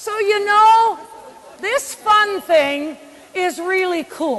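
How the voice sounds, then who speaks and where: A woman with a northern US accent speaks in an animated tone. Crowd noise fills the background. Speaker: physical education speaker. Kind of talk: conference keynote. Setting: stage with audience.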